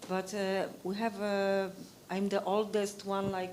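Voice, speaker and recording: With a Polish accent, a woman talks at a fairly slow pace amid audible room echo. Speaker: Wikipedia educator. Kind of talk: conference discussion. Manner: halting.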